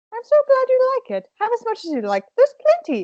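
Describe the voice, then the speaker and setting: A woman performs a put-on character voice, squeaky and extremely high in pitch. She talks at a fairly quick pace with big swings in loudness. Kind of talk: comic overacting. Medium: read story. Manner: sunny, doting.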